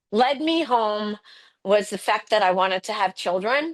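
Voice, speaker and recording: Speaking fairly slowly against a quiet background, a woman uses a fairly high pitch. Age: 60s. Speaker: nurse and holistic health coach. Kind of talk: testimony. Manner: halting.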